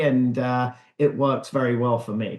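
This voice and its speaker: This is a man speaking with a British accent. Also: quiet background. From England. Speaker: real estate broker. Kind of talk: interview answer. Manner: calm, confident.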